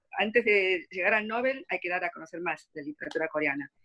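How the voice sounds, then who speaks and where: Her pitch moves in an ordinary way. The voice belongs to a woman. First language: Korean (Spanish dominant) (speaking Spanish). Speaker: literary translator. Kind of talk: interview Q&A. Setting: video call. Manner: halting, many fillers and repeats.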